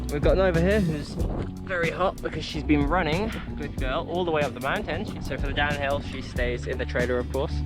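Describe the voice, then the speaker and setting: Music plays in the background as a man talks at a fairly quick pace. Audible room echo surrounds his voice. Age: 20s. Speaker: travel vlogger. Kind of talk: casual vlog talk.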